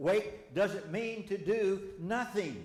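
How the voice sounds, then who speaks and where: Over noticeable background noise and audible room echo, a man with a Southern US accent talks in an animated tone at a high pitch. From Arkansas. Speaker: Bible study teacher. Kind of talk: sermon-style Bible study lesson. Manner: animated, conversational with audience questions; halting, with repetitions and false starts.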